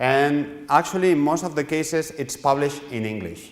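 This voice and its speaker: With a Spanish accent, a man talks at a fairly high pitch with ordinary pitch variation, and audible room echo surrounds his voice. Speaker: publishing editor. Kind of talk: lecture. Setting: workshop with audience. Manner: halting, with frequent repetitions.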